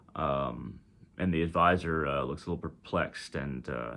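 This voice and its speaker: Ordinary pitch variation in a man's very deep, low voice, delivered at a moderate pace. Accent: Texas. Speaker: spiritual teacher. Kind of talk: storytelling. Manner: halting, many fillers.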